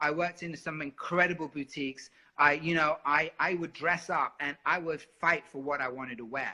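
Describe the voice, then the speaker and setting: A man's high-pitched, animated voice with a bright, sharp tone, a fairly quick pace, ordinary pitch variation, and a quiet background. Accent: London. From London, England. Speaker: singer. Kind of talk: interview.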